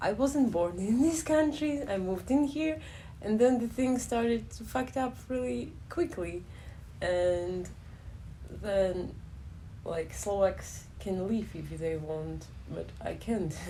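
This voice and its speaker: A woman talks at a very slow pace with long, frequent pauses and audible room echo. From Ukraine. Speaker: interviewee. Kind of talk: interview.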